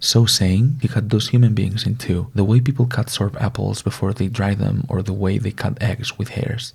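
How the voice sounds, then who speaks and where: A soft-spoken, somewhat breathy voice with a gentle tone and a non-native accent, at a moderate pace with hardly any pauses. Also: man, medium pitch for a man, fairly even intonation. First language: not English. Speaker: ASMR content creator. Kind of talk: ASMR reading of a Greek myth. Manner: soft-spoken, gentle.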